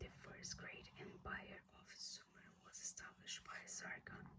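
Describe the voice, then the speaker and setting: The whispering moves along at a very slow pace. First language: not English. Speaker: ASMR creator. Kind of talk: whispered book reading. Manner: whispered, soft.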